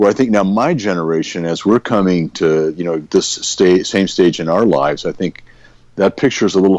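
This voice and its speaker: A man with a very deep, low pitch, an American accent and ordinary pitch variation. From California. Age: 60s. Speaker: pastor. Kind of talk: casual chat.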